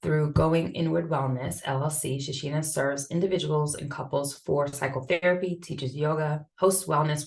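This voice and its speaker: With a slight Boston accent, a woman speaks at a fairly quick pace. Her pitch is very deep and low. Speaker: event moderator. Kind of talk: reading panelist introductions. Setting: Zoom video call.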